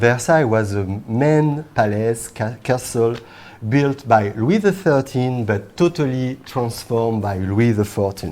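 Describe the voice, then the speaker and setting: At a fairly slow pace, a man speaks in a French accent at a medium pitch with lively intonation. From France. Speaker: language school director of studies, webinar host. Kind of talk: casual chat.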